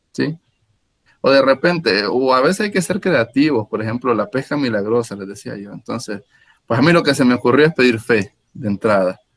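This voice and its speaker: A man talks at a medium pitch with lively intonation. The sound is dry and close, with no echo. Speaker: Jesuit priest leading prayer workshop. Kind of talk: online workshop teaching. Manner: fast.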